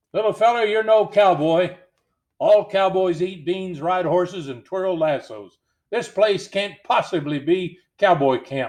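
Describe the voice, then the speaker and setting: Putting on a character voice, a man sounds gruff and high-pitched, moving at a moderate pace with ordinary pitch variation. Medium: read story. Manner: drawling Western slang.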